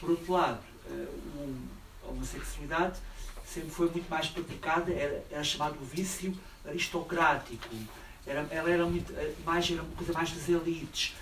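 Against noticeable background noise, a man speaks at a moderate pace in a high pitch with fairly even intonation. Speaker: audience member asking questions. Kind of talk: audience question.

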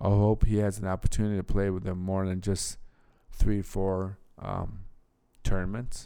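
A man's dark, mellow tone at a fairly low pitch, with monotone, flat intonation, a moderate pace and long, frequent pauses. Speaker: podcast host. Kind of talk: solo sports podcast monologue. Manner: halting, with many fillers.

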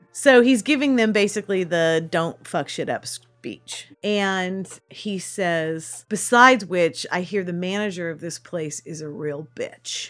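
A woman's plain, everyday voice, medium in pitch, with an American accent and big swings in loudness. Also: lively intonation, fairly slow pace. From California foothills, Sutter Creek. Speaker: theatre manager. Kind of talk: interview.

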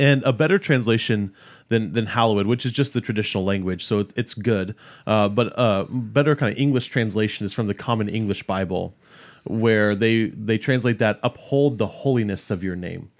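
Against a quiet background, a man with a fairly low pitch and ordinary pitch variation talks at a moderate pace in an unremarkable speaking voice. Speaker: discipleship pastor. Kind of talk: casual theological discussion.

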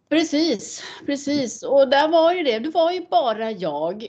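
Moving at a fairly slow pace, a woman's voice shows very wide pitch swings. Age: 50s. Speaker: motorsport driver. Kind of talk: casual interview. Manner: animated.

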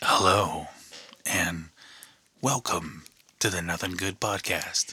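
In a put-on character voice, a man speaks with a very deep, low pitch and a raspy sound at a fairly slow pace. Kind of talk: polished broadcast delivery. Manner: smooth.

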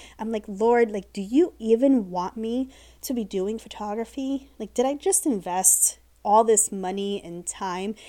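On a very clean recording with a silent background, a woman with a Midwestern accent speaks in a dark, mellow tone, with ordinary pitch variation and big swings in loudness. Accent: General American (Midwest). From US Midwest (Ohio). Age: 40s. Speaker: podcast host, business coach and photographer. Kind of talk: casual solo podcast monologue. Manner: enthusiastic, chatty.

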